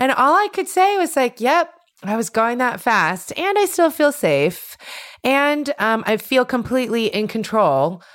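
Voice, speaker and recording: On a very clean recording with a silent background, a woman speaks loud and high, animated in tone, with very wide pitch swings at a fairly slow pace. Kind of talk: casual chat. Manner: loud, animated.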